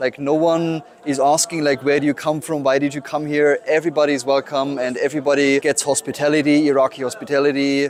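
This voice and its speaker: Very fast, fairly high male voice with monotone, flat intonation and noticeable background noise. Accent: German. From Germany. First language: German. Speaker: photographer. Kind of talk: interview. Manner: halting.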